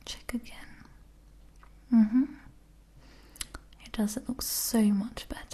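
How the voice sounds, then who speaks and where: A gentle tone at a fairly slow pace, with long, frequent pauses and noticeable background noise. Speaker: ASMR artist. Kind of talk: ASMR role play, doctor ear examination. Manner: soft-spoken, gentle.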